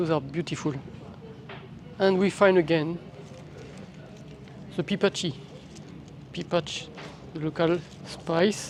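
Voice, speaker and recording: With a French accent, this speaker goes at a fairly slow pace and leaves long, frequent pauses. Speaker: travel vlogger. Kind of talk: walking tour vlog narration. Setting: outdoors, walking with handheld camera. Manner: casual, slightly halting.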